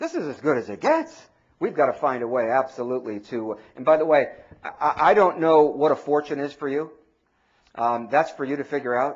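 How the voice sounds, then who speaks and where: Fairly quick and fairly high in pitch, a man's voice moves with ordinary pitch variation. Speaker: mortgage industry speaker and trainer. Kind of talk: seminar talk. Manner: fast; animated.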